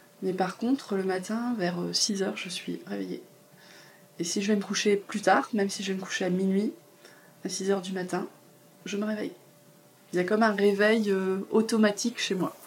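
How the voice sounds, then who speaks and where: Over noticeable background noise, a woman with a medium pitch speaks at a moderate pace with fairly even intonation and long, frequent pauses. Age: 40s. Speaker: massage therapist and confidence coach. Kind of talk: interview testimony. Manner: hesitant, many fillers. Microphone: poor sound quality.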